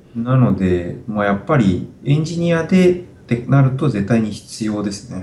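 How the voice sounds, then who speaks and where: A man talks with lively intonation at a medium pitch. Noticeable background noise runs behind him. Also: moderate pace. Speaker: software engineer. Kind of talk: interview. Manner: halting, many fillers.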